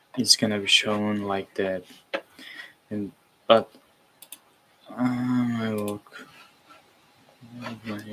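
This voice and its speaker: Over noticeable background noise, a man with a fairly low voice talks at a very slow pace in a flat monotone, with long, frequent pauses and big swings in loudness. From Uzbekistan. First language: Uzbek. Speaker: streamer learning web development. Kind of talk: live coding stream. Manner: halting, many fillers.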